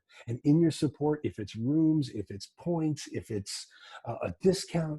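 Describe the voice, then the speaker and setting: Recorded very cleanly against a silent background, with a dry, close sound and no echo, a man with an American accent speaks in a somewhat breathy voice with a dark, mellow tone and ordinary pitch variation. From US New England. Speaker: music business consultant. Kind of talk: talk to an audience. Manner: fast; halting, many repetitions.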